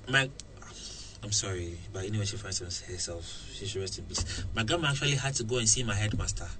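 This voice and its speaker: A man's fairly low voice at a fairly quick pace with ordinary pitch variation, plus noticeable background noise and audible room echo. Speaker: radio presenter. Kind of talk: casual interview. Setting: radio studio. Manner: halting, repetitive.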